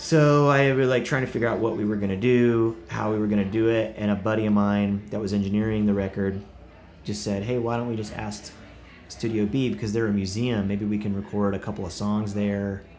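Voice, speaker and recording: A man speaks at a fairly quick pace in a plain, everyday voice, his fairly low pitch held to a fairly even intonation. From Oklahoma. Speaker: rock 'n roll musician touring artist. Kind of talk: casual interview chat.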